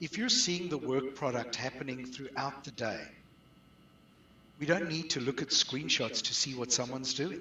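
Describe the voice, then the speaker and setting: A man with a South African accent and ordinary pitch variation, over noticeable background noise. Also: fairly high pitch for a man, moderate pace. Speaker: outsourcing business owner. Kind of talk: webinar interview.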